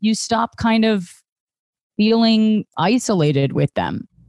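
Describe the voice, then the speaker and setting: Speaking with a General American accent, a woman uses a fairly high pitch and lively intonation in a plain, everyday voice, recorded with a dry, close sound and no echo. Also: very clean recording, silent background. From Northern Virginia, near DC. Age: 30s. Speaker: stand-up comedian. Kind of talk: casual interview.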